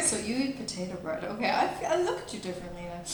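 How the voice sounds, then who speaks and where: A woman speaks while noticeable background noise carries on around her. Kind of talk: casual comedic panel chat.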